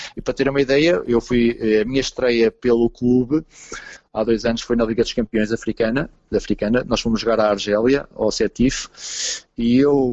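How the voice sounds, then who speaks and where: A normal speaking voice moves at a moderate pace with fairly even intonation. Its loudness stays very even. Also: man, medium pitch for a man. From Portugal. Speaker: goalkeeper coach. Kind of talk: interview.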